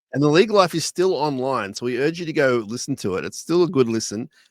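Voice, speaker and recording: A man's fairly high voice with an Australian accent and lively intonation, on a very clean recording with a silent background. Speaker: podcast host. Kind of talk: casual chat. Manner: spaced-out words.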